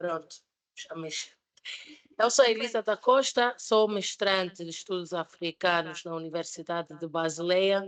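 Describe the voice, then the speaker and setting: In a German accent, a woman speaks at a fairly slow pace with a fairly low pitch. Her pitch variation is ordinary, while her loudness swings widely. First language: German (speaking Portuguese). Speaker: master's student and social entrepreneur presenting a project. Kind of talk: presentation at a public debate. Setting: public debate event with live audience. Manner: halting, with fillers and repetitions.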